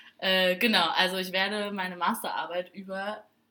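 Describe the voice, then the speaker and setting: Fairly low in pitch, a woman speaks in a plain, everyday voice. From Saarbrücken, Germany. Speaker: podcast co-host, student. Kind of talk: casual chat.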